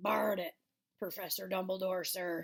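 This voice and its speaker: A woman puts on a raspy character voice at a medium pitch. She talks at a moderate pace. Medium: read story. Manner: deferential, says sir often.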